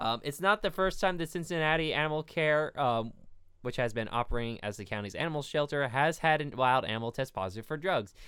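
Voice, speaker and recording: The speech comes at a very fast pace. The recording is very clean with a silent background. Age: 20s. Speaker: podcast co-host, animal care worker. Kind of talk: reading research notes; casual chat.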